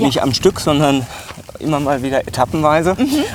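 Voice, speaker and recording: Noticeable background noise sits behind a man who speaks at a moderate pace with a fairly high pitch. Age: 40s. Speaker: podcast host. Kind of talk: casual chat. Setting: outdoors, walking through a zoo.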